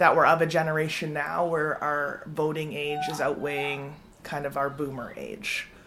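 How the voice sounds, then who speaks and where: Over music in the background, a woman talks at a fairly slow pace in a very deep, low pitch. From Calgary, Alberta, Canada. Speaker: poet. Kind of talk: interview.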